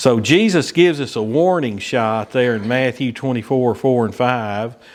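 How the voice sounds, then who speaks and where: This man speaks with a Southern US accent. His pitch is medium, with ordinary variation. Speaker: Bible study teacher. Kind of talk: Bible study lesson. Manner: casual, filler-heavy with repetitions.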